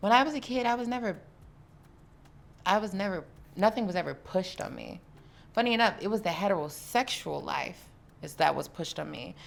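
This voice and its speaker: A woman's medium-pitched voice with vocal fry, lively intonation and an animated tone, big swings in loudness, a fairly quick pace and long, frequent pauses. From US South. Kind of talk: casual interview chat.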